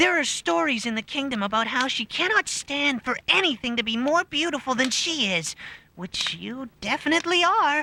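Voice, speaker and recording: Put-on character voice pitched high, delivered at a moderate tempo. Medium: voice reel.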